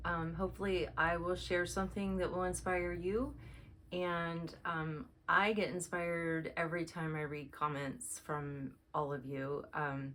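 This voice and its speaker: A fairly slow voice in an American accent, with ordinary pitch variation and audible room echo. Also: woman, fairly low pitch for a woman. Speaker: cross stitch video creator. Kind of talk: casual chat. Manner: frequent 'um' fillers.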